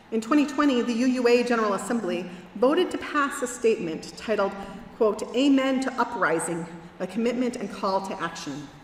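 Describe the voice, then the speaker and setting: A woman's fairly high, lively voice at a fairly quick pace, with audible room echo and noticeable background noise. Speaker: minister. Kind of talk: sermon. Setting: church.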